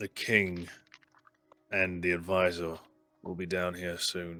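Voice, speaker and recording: A man's put-on character voice, very deep and low, in a flat monotone at a fairly slow pace, with faint music in the background. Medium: actual play. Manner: polite, formal.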